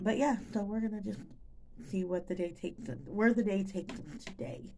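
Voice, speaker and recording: A woman talks at a fairly quick pace in a dark, mellow tone with vocal fry. Light background noise is present. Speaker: vlogger. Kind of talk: casual vlog chat. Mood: relaxed and chatty. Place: kitchen. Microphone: phone near.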